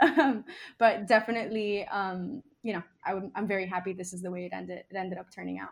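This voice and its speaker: A woman with a Miami accent at a very fast pace, medium pitch and ordinary pitch variation. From Miami, Nicaragua-born. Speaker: musician. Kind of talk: casual interview chat. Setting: video call.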